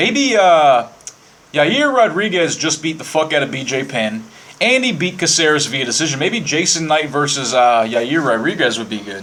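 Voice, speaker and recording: A man's fairly high voice moves at a moderate pace, his intonation lively, while noticeable background noise carries on behind him. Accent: American. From Virginia (Winchester). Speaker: podcast host. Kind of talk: casual monologue. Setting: live internet radio.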